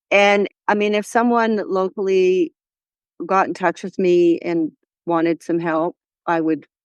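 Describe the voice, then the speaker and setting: At a fairly slow pace with long, frequent pauses, a woman speaks at a medium pitch with ordinary pitch variation, her voice dry and close with no echo against a quiet background. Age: 60s. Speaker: horse riding confidence coach. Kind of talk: interview.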